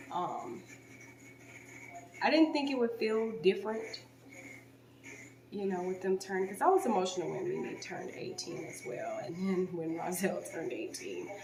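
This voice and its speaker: A soft-spoken woman talks at a moderate pace with long, frequent pauses and big swings in loudness, with audible room echo and noticeable background noise. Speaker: home renovation vlogger. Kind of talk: vlog.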